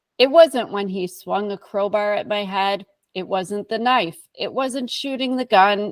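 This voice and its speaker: A woman with a medium pitch talks at a fairly slow pace with ordinary pitch variation. The recording is very clean, the background silent. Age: 40s. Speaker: abuse survivor and author. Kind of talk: testimony.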